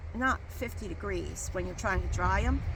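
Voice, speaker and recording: Audible room echo surrounds the voice. Noticeable background noise runs underneath. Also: woman. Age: 60s. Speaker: home gardener. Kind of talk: casual chat. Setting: outdoors. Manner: halting.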